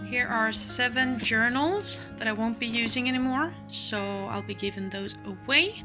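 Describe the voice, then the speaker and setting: A woman speaks quietly at a fairly slow pace over music in the background. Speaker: crafter. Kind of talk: casual talk to camera. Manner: low-voiced, quiet.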